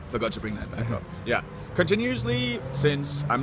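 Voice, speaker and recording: A man with a Danish accent talks at a fairly quick pace with lively intonation. Noticeable background noise is present. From Denmark. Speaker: university student. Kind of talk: casual interview. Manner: hesitant, many fillers.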